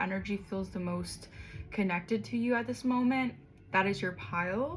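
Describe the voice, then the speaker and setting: The voice shows ordinary pitch variation. Music plays in the background. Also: woman. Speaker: tarot reader. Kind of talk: tarot reading. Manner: fast; casual, hesitant with ums.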